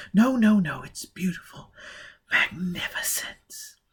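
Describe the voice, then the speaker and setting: A man uses a put-on character voice, husky and high in pitch. He speaks at a fairly slow pace. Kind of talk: audiobook character reading. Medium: read story. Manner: cool, mocking, languid.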